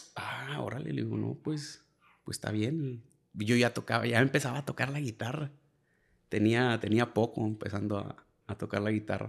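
Speaking at a moderate pace, a man with a medium pitch shows vocal fry and ordinary pitch variation. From Piedras Negras, Coahuila, Mexico. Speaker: musician, bassist. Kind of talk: casual interview chat. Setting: host's home.

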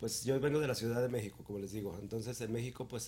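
A man's voice, medium in pitch, has a dark, mellow tone and a somewhat breathy quality. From Mexico City. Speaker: event organizer. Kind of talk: casual chat.

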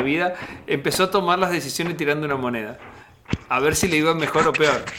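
A man speaks at a fairly quick pace with ordinary pitch variation. His pitch is fairly high, in an ordinary speaking voice. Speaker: podcast host. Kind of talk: interview conversation.

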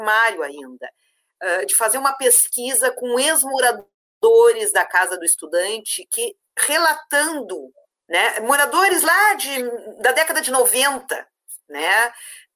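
At a fairly slow pace, a woman speaks in a raised, projected voice, high in pitch and bright and sharp in tone. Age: 50s. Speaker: university administrative staff coordinator. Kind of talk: live-stream panel discussion.

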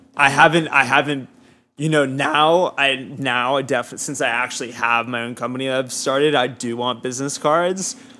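With an American accent and a bright, sharp tone, the voice moves at a moderate pace with fairly even intonation. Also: man, medium pitch for a man. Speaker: student and music PR publicist. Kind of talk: casual interview chat.

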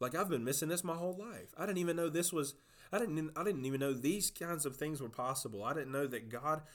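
With a Southern US accent and lively intonation, a man talks at a fairly high pitch on a very clean recording with a silent background. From South Georgia. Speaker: youth pastor. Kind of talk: casual conversation, faith testimony.

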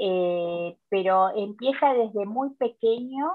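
A woman speaks with ordinary pitch variation. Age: 50s. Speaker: nutrition educator. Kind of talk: interview.

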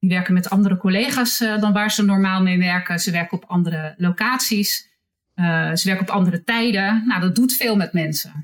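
A somewhat breathy voice at a fairly quick pace, with ordinary pitch variation and very even loudness. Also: woman, medium pitch for a woman. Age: 50s. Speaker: hospital HR manager. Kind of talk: interview. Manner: halting.

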